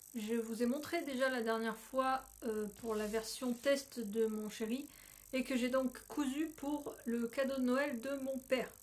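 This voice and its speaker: Music plays in the background as a woman speaks at a high pitch with fairly even intonation. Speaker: knitting and sewing podcaster. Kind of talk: casual vlog show-and-tell. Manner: trying to speak slowly and clearly.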